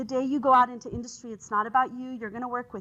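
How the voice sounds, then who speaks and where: This woman has a high pitch. Her tone is bright and sharp. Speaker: engineering professor. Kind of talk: conference talk. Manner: fast; animated.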